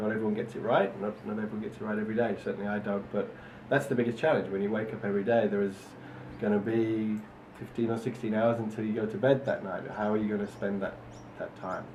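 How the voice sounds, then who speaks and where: Audible room echo surrounds a man speaking very fast in a monotone, flat way at a fairly low pitch. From northern England, Manchester. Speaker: entrepreneur. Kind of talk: interview answers.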